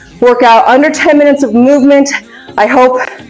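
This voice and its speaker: High-pitched female speech at a moderate pace with fairly even intonation, faint music in the background. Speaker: fitness trainer. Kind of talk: casual vlog chat. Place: gym.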